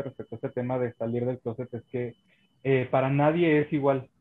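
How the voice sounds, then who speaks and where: Pitched fairly high, a man speaks at a moderate pace. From northern Mexico. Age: 20s. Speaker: content creator. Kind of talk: casual chat.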